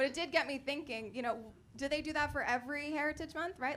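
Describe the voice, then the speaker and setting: Raised and projected, a woman's bright, sharp voice moves at a fairly quick pace with ordinary pitch variation. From Connecticut. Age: 20s. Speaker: stand-up comedian. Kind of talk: stand-up. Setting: comedy club stage with audience.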